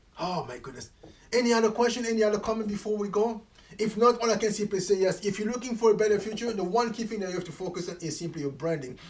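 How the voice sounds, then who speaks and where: Over noticeable background noise, the speaker talks at a very fast pace in an animated tone, with ordinary pitch variation and big swings in loudness. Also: man, high pitch for a man. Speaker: motivational coach. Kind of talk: live stream chat. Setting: livestream.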